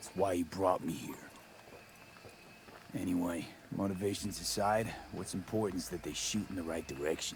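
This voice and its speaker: Over clear background noise, a man in a raspy, put-on character voice speaks at a very deep, low pitch and a moderate pace, with long, frequent pauses. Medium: video game. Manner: blunt, wry.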